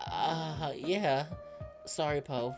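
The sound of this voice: A woman uses a put-on character voice, low in pitch with a slightly mellow tone and ordinary pitch variation. She speaks at a very slow pace as faint music plays in the background.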